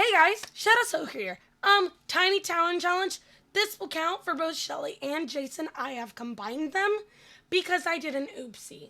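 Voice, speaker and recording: Extremely high-pitched woman's voice, raised and projected, bright and sharp in tone, with lively intonation at a moderate pace. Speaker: gaming streamer. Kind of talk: gameplay voiceover. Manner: casual, filler-heavy.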